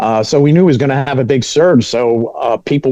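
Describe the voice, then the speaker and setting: Noticeable background noise sits under a man talking at medium pitch and a moderate pace. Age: 60s. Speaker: TV meteorologist. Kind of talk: panel discussion.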